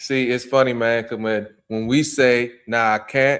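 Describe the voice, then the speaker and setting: Speaking with a DC area accent, a man keeps a medium pitch. He talks at a fairly slow pace with fairly even intonation. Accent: DMV (Washington DC area). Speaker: podcast host. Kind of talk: podcast interview.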